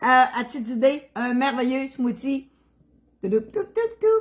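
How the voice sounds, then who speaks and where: Speech in a Quebec accent at a fairly slow pace with very wide pitch swings. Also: woman. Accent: Québécois French. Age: 60s. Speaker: cooking livestreamer. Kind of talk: casual livestream chat. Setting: home kitchen livestream.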